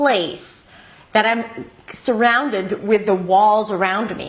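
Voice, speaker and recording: There is noticeable noise behind the voice. The speaker is a woman. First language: not English. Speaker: English teacher. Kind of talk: tutorial.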